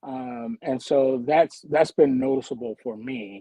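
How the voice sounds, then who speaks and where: In an American accent, a dark, mellow voice comes through in a dry, close sound with no echo. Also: man. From Philadelphia, Pennsylvania. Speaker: community development worker. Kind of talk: casual chat. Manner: halting, repeats words.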